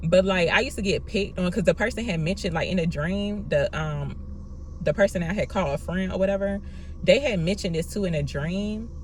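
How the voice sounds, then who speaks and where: Noticeable background noise runs under the speech. The words come at a very fast pace. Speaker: tarot reader. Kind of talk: tarot reading monologue. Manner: soft-spoken; quiet, not loud.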